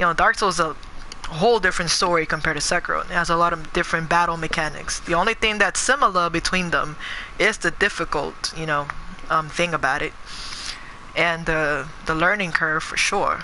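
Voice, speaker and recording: With an animated tone and ordinary pitch variation, a woman speaks at a fairly quick pace over noticeable background noise. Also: fairly low pitch for a woman. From New York City (Bronx, Queens), moved to California at 13. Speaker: gaming streamer. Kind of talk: live gameplay stream chat. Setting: live stream. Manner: casual, animated.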